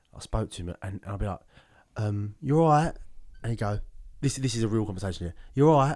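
Over a silent background in a very clean recording, a man with a British accent talks very fast at a fairly low pitch, his intonation lively and his pauses long and frequent. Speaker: podcast host. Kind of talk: casual chat.

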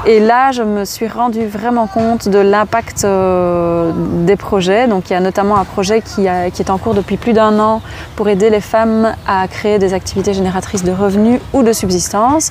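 A woman talks at a medium pitch and a moderate speed. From Belgium. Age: 30s. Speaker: charity founder, former primary school teacher. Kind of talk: interview. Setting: outdoors in a park. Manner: animated.

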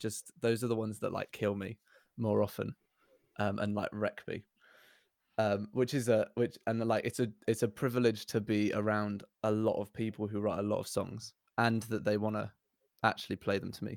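A man's fairly low voice with a southern English accent, moderate pace and monotone, flat intonation, in a dry, close sound with no echo. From southern England. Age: 20s. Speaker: church worship and outreach worker. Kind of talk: casual chat.

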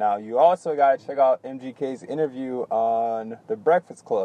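A man speaks in a dark, mellow tone with lively intonation. The sound is dry and close, with no echo. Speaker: podcast host. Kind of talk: casual monologue. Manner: casual, filler-heavy.

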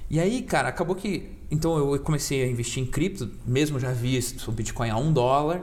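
With noticeable background noise and audible room echo, the talk runs at a moderate pace with ordinary pitch variation and hardly any pauses. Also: man, fairly high pitch for a man. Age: 20s. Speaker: crypto investor. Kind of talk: casual chat. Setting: studio.

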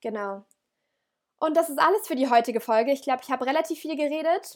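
This woman talks at a fairly quick pace with a high pitch and lively intonation. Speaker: podcast host. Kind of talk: casual monologue. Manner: enthusiastic; halting, self-correcting.

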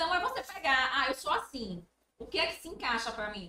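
In a raised, projected voice, a woman speaks at a moderate pace with a high pitch. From Brazil, Sergipe (Itabaiana). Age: 30s. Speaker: business manager and psychologist. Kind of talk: podcast interview.

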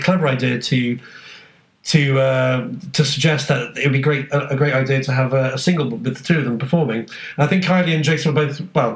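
Over noticeable background noise, a man with a British accent and a fairly high pitch speaks very fast with fairly even intonation. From UK. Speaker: podcast co-host. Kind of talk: casual chat.

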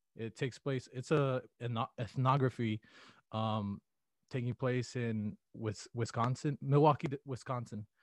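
A man with an American accent and a normal speaking voice talks at a fairly slow pace and medium pitch with fairly even intonation, in a dry, close sound with no echo and a quiet background. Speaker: college student. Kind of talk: interview. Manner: casual, many fillers.

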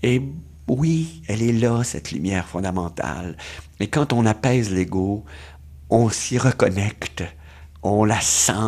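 A man's fairly low voice in a Quebec accent, with lively intonation and a fairly slow pace. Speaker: doctor and author. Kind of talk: interview.

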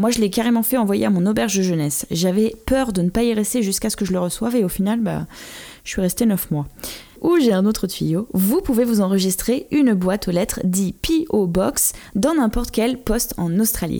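Fairly high in pitch, a woman speaks at a moderate pace with lively intonation. Her tone is dark and mellow, her loudness very even. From France. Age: 30s. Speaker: podcast host. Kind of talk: casual podcast monologue.

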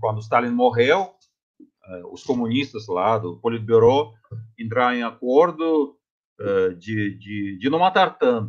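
A man with a Russian accent speaks at a very slow pace and medium pitch, leaving long, frequent pauses. His intonation is lively, and his loudness swings widely. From Russia, Tomsk region (Siberia). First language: Russian (speaking Portuguese). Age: 50s. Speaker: physics professor. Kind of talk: interview testimony. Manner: halting.

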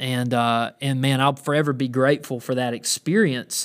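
The speaker talks at a moderate pace with a Southern US accent. The recording is very clean, with a silent background. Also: man. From US South (Georgia). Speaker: pastor. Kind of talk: podcast monologue. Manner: halting, many filler words.

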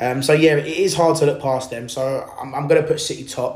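Speaking at a moderate pace with an English accent, a man with a fairly high pitch sounds somewhat breathy, and audible room echo surrounds him. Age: 20s. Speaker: football podcast host. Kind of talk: solo podcast monologue. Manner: hesitant, many fillers.

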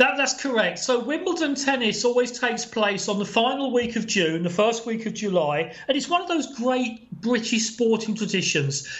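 A man with an extremely high voice speaks at a moderate pace, hardly pausing, over noticeable background noise. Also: lively intonation. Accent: English. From England. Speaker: sports journalist and broadcaster. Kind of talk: casual chat. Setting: remote call from abroad.

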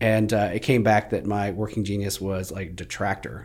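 Over a very clean recording with a silent background, a man with an American accent speaks at a moderate pace in a plain, everyday voice, his pitch fairly low and his intonation fairly even. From Plano, Texas. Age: 40s. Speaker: real estate team leader. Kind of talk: casual interview chat.

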